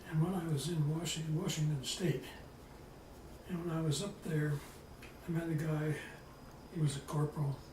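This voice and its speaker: A man with an American accent and monotone, flat intonation, amid noticeable background noise and audible room echo. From California, Bay Area. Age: 80s+. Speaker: retired wildlife professor. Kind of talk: oral history interview. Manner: halting.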